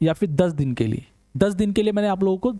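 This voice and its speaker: High-pitched male voice, dark and mellow in tone, ordinary pitch variation, dry, close sound with no echo. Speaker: online teacher. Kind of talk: lecture.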